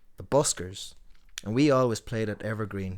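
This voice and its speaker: A man with an Irish accent and fairly low pitch talks at a very fast pace. The recording is very clean, with a silent background. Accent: Tuam Irish. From Ireland, Tuam, County Galway. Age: middle-aged. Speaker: singer-songwriter. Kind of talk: casual chat.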